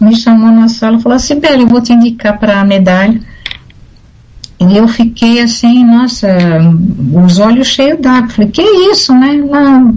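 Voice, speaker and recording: A woman's fairly high voice at a fairly slow pace, with long, frequent pauses, very even loudness and audible room echo. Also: ordinary pitch variation. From Brazil, São Paulo. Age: 60s. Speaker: retired air force officer and speech therapist. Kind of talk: radio interview.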